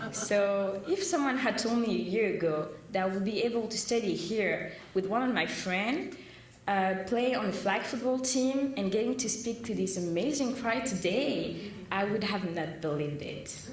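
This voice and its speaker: Noticeable background noise sits under the voice. Room echo is audible too. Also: woman, fairly high pitch for a woman, lively intonation, moderate pace. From southern France. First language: French. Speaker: student. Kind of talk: prepared speech.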